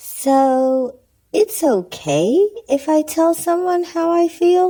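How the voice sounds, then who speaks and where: A cartoonish character voice, female-sounding and extremely high in pitch, at a very slow pace. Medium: puppet. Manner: soft-spoken, gentle.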